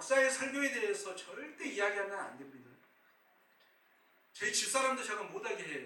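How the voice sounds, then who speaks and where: A man's raised, projected voice, high in pitch, at a moderate pace, with audible room echo and noticeable background noise. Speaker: pastor. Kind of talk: sermon.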